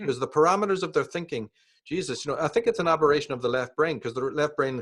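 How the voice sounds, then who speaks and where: Talking very fast in a Northern Irish accent, a man with a fairly high voice is heard against a quiet background. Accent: Northern Irish (Belfast). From Northern Ireland, Belfast. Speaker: author and speaker on esoteric topics. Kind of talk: interview conversation.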